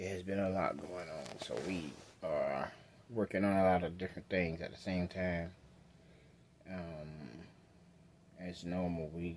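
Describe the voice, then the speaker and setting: Over light background noise, a man with a very deep, low pitch talks at a fairly slow pace, his intonation fairly even and his pauses long and frequent. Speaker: vlogger. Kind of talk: casual vlog chat. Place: home room. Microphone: phone near.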